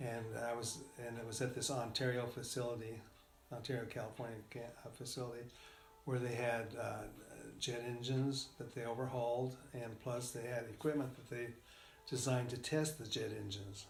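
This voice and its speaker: An American accent comes through as a man talks at a moderate pace and medium pitch. His intonation is monotone and flat, with noticeable background noise behind him. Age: old. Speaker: retired engineer. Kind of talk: interview answer. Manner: hesitant, halting.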